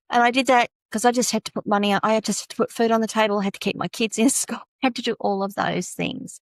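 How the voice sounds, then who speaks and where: In an Australian accent, a woman talks at a very fast pace and fairly high pitch with fairly even intonation, in a dry, close sound with no echo over a quiet background. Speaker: tech consultant. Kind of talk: podcast interview.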